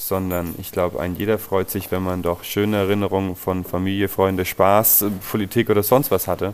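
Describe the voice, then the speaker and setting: The man has a very deep, low pitch and talks at a moderate pace. His intonation is monotone and flat. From Nuremberg, Franconia (Bavaria). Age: 20s. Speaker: plumber and heating installer, co-founder of a collective business. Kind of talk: interview.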